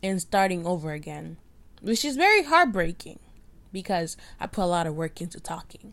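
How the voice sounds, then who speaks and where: A woman with an unremarkable speaking voice talks at a moderate pace in a very clean recording with a silent background. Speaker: podcaster and college student. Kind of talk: casual solo rant. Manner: rambling, self-deprecating.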